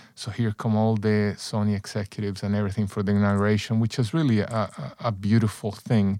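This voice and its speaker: With a Spanish accent, a man talks very fast in a fairly low, dark and mellow voice with fairly even intonation. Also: very clean recording, silent background. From El Salvador, San Salvador. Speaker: former executive, personal growth coach. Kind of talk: interview.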